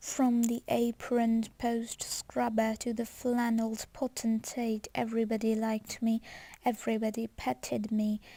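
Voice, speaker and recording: Somewhat breathy and dark, mellow in tone, a woman's fairly high voice stays flat and monotone. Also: fairly slow pace. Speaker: ASMR reader. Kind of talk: book reading, ASMR. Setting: home recording with some background noise.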